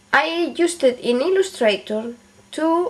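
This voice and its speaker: A woman with a non-native accent talks at a very slow pace over noticeable background noise. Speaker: beauty and DIY video maker. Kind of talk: tutorial. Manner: halting, with fillers.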